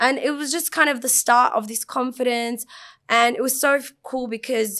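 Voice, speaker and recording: A high-pitched woman's voice at a moderate pace, in a fairly even intonation, on a very clean recording with a silent background. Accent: Australian. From Australia. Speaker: fashion designer. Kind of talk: casual chat. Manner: loud.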